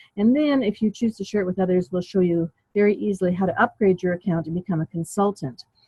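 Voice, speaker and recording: At a very fast pace, a somewhat breathy woman speaks with ordinary pitch variation. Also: medium pitch for a woman. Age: 70s. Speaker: network marketing consultant. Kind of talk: business presentation. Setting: conference call.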